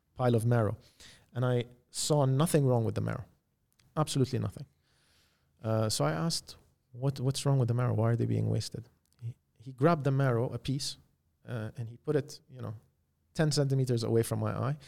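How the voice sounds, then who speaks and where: On a very clean recording with a silent background, a man with a medium pitch and a dark, mellow tone talks at a fairly quick pace, with long, frequent pauses, big swings in loudness and ordinary pitch variation. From Lebanon, southern mountains. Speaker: startup founder and CEO. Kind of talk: casual interview chat. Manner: halting, many fillers.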